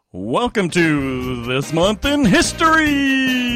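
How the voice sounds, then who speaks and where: A man puts on a character voice, pitched high and swinging very widely. He speaks at a very slow pace. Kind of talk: announcer. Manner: bright, upbeat.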